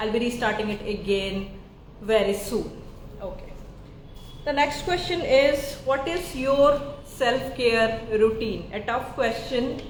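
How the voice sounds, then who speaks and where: A woman with an Indian accent speaks at a very slow pace in a high pitch with ordinary pitch variation, over audible room echo and noticeable background noise. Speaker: psychiatrist. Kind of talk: live Q&A chat. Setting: live social media stream.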